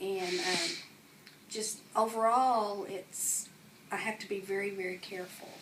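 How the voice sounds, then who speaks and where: Through noticeable background noise and audible room echo, a woman talks fairly slowly at a medium pitch with fairly even intonation and long, frequent pauses. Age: 60s. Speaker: interviewee with osteoporosis. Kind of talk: interview.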